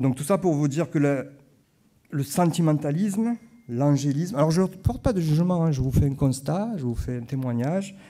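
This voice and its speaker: A man with a Marseille accent talks at a moderate pace, his fairly high voice carrying a dark, mellow tone and ordinary pitch variation. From southern France, Marseille (Corsican roots). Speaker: historian and lecturer. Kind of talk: conference talk. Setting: conference hall with audience. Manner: hesitant, with frequent fillers and repetitions.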